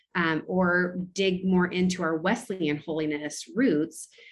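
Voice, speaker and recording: In an American accent, a woman talks with an unremarkable speaking voice, medium pitch and ordinary pitch variation. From California, US. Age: 30s. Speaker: pastor. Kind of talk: casual interview conversation.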